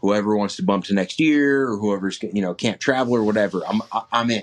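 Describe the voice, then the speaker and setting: In an ordinary speaking voice, a man talks at a fairly quick pace with a fairly low pitch and ordinary pitch variation. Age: 20s. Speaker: hunter. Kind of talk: casual chat. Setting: remote call.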